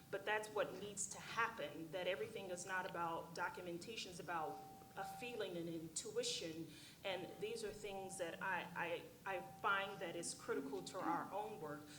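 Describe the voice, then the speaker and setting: A woman of medium pitch speaks at a moderate pace in an American accent with ordinary pitch variation, amid noticeable background noise and audible room echo. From Oklahoma, US. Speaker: panelist on global health. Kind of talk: conference panel discussion. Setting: conference room with audience. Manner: many fillers (um, uh).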